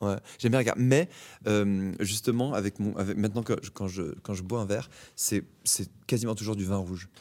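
At a moderate pace, a man speaks at fairly low pitch with fairly even intonation on a very clean recording with a silent background. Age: 30s. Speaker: actor. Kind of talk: casual interview. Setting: theatre stage. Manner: halting, many repetitions.

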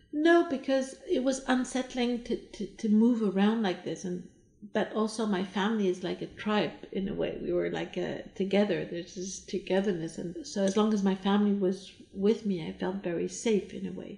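A woman with an American accent speaks at a moderate pace in a medium pitch. Her tone is dark, mellow and somewhat breathy, with ordinary pitch variation. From mixed: Iran, US, Germany, France. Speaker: interior designer. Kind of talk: casual interview. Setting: at her home. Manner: halting, with repeated words.

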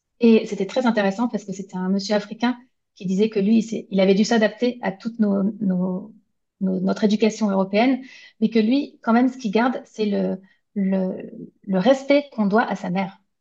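At a moderate pace, a woman with a medium-pitched, somewhat breathy voice and a dark, mellow tone speaks with fairly even intonation. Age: 40s. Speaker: graphic designer and illustrator. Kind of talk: interview. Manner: hesitant.

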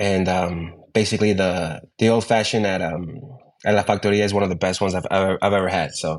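Fairly even intonation and a fairly quick delivery in an ordinary speaking voice. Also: man. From New York, raised; born in Ecuador. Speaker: bartender, bar creative director. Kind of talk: interview. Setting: remote call.

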